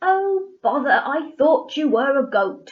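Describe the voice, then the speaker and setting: In a put-on character voice, a woman bellows gruffly at a high pitch and a fairly slow pace. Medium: read story. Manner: gruff, roaring.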